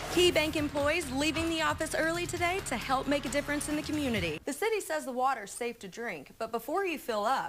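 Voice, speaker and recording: A woman talks at a very fast pace with hardly any pauses and lively intonation. Her pitch is high, and there is noticeable background noise. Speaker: TV news reporter. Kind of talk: TV news reporting and on-air reel.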